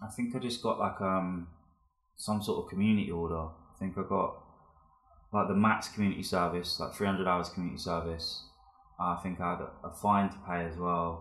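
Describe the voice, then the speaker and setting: With a London accent, a man talks at a fairly quick pace in a very deep, low pitch, keeping his intonation fairly even amid audible room echo. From West London. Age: 20s. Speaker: graffiti artist and photographer. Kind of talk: casual chat. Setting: studio.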